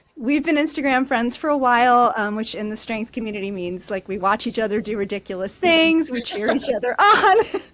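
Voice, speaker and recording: A woman with an American accent, fairly high-pitched, lively in intonation, at a fairly quick pace with hardly any pauses, over noticeable background noise. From Brooklyn, New York. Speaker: podcast host and masters powerlifter. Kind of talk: casual interview chat.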